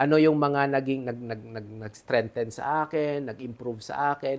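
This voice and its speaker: The recording is very clean, with a silent background. The speech moves at a moderate pace with fairly even intonation. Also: man. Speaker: business mentor. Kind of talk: interview.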